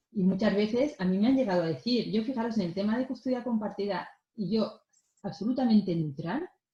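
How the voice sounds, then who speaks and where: An ordinary speaking voice with lively intonation. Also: woman, fairly high pitch for a woman, fairly quick pace. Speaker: mediator. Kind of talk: lecture.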